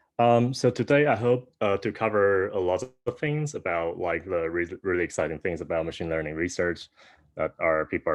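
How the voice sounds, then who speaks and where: His intonation is lively. A man talks fairly quickly. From Taiwan. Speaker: PhD student researcher. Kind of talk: lecture. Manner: halting, many fillers.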